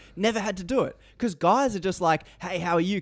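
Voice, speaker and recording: A man talks at a very fast pace with an Australian accent. His intonation is lively. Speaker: podcaster guest. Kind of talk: casual chat. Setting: remote call.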